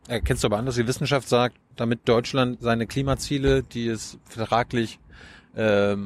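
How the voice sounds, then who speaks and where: A normal speaking voice from a man, pitched in the middle range, its intonation fairly even. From Mecklenburg-Vorpommern. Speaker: journalist interviewer. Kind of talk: interview. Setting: outdoors on a rooftop.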